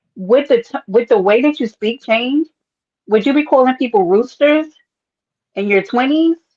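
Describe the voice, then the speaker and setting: Heard in a dry, close sound with no echo, a woman with a New York accent talks in a high pitch with ordinary pitch variation and long, frequent pauses. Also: moderate pace. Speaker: livestream panelist. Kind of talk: casual chat.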